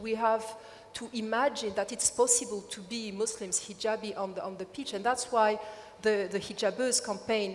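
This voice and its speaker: A woman talks at a moderate pace. Noticeable background noise runs under her voice. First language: French. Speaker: activist. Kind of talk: panel discussion. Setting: stage with audience. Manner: halting.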